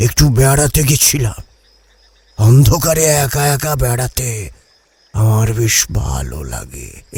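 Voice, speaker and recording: A man's put-on character voice at a medium pitch, delivered at a very slow pace. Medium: audio drama. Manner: fast, questions tumbling over each other.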